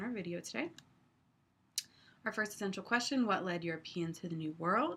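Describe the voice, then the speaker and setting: The speaker moves at a fairly quick pace. Vocal fry runs through the voice. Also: woman. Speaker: history teacher. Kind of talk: lecture. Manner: fast.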